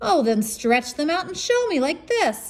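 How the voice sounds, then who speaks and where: A woman uses a put-on character voice with a high pitch, very wide pitch swings and a moderate pace. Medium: read story. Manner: mocking.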